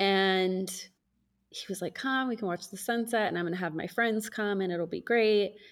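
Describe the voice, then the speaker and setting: In a normal speaking voice, a woman with an American accent talks at a moderate pace and medium pitch with fairly even intonation, on a very clean recording with a silent background. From United States. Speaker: podcast host. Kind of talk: casual chat.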